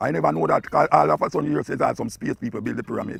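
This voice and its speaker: With music in the background, a man talks at a very fast pace in a Jamaican accent, the sound dry and close with no echo. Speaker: dub poet and radio talk-show host. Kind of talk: spoken lecture on culture and history.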